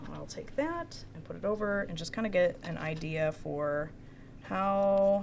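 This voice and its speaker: A soft-spoken woman talks with audible room echo. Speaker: new employee. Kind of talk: casual chat.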